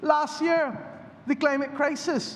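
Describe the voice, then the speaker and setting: A man's voice with noticeable background noise. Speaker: politician. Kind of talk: parliamentary budget speech. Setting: parliament chamber.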